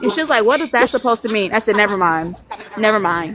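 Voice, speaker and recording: Noticeable background noise surrounds a woman's voice. Her pitch is fairly high, with ordinary variation. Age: 20s. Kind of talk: casual chat. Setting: live stream.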